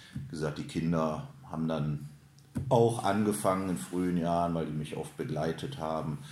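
Audible room echo surrounds a man with a very deep, low voice. He moves at a moderate pace with lively intonation. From Lower Rhine, Germany (Hüls, Krefeld). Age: 50s. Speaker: ice hockey coach and sports director. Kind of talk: interview. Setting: club office at an ice rink.

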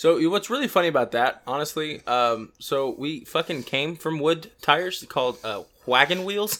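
A man's plain, everyday voice, fairly high in pitch, with lively intonation at a moderate pace, hardly any pauses, and a very clean recording with a silent background. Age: 20s. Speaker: podcast co-host. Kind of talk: casual chat.

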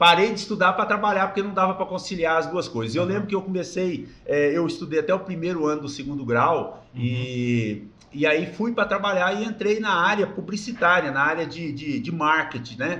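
A man with a high pitch talks at a fairly quick pace, with hardly any pauses. His intonation is lively. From Brazil, interior of Goiás. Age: 50s. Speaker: company founder and president. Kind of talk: casual interview, life story. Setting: studio.

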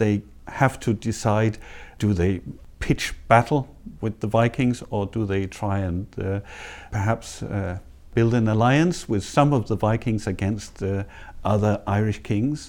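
Fairly slow and fairly low in pitch, a man speaks with ordinary pitch variation. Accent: Danish. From Denmark. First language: Danish. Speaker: history professor. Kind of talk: interview. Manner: hesitant, many fillers; passionate.

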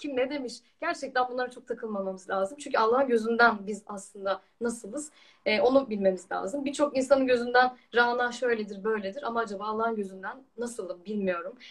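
Speaking at a fairly quick pace, a woman has a fairly high pitch with ordinary pitch variation. Her loudness swings widely. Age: 20s. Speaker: trainee lawyer and Quran researcher. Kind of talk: religious discussion.

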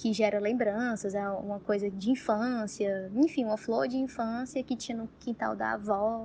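Her pace is fairly slow, and the woman's pitch is medium. The voice comes across somewhat breathy. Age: 20s. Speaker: tattoo artist. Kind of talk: casual explanation.

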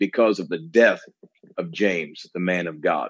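A man with an American accent talks at a fairly quick pace. He has an unremarkable speaking voice, fairly low in pitch. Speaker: preacher. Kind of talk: preaching conversation. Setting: video call.

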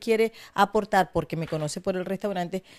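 A woman at a fairly quick pace with lively intonation, in a very clean recording with a silent background and a dry, close sound with no echo. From Venezuela, Maracaibo (Zulia). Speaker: charity foundation founder. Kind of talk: interview.

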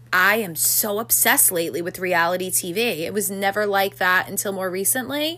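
With an American accent, a woman speaks at a moderate pace over noticeable background noise. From New York City. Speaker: podcast co-host. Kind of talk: casual chat.

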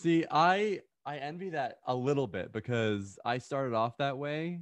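A man with very wide pitch swings before a quiet background. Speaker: musician and gamer. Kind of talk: casual interview chat.

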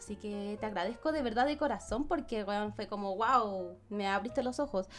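With lively intonation, the woman keeps to a moderate pace. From Ecuador. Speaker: podcast guest. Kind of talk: casual chat.

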